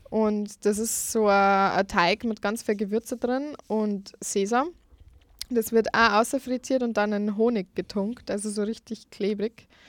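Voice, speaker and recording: A woman at a very slow pace and fairly high pitch, with fairly even intonation, a dry, close sound with no echo, and a very clean recording with a silent background. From Lower Bavaria, Germany. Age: 20s. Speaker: food blogger and student. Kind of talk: radio interview. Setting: studio.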